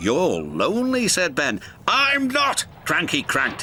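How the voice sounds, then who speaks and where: Music in the background behind a man talking at a very slow pace. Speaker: narrator. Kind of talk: children's TV story narration.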